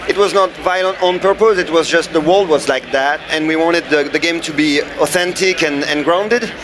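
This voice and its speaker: With a French accent and a high pitch for a man, he talks at a fairly quick pace with hardly any pauses and fairly even intonation over noticeable background noise. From France. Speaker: game developer. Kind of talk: interview. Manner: halting.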